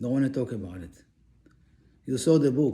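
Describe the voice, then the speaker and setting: A non-native accent marks a man's speech. The tone of his voice is dark and mellow. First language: not English. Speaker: religious teacher. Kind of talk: religious lecture.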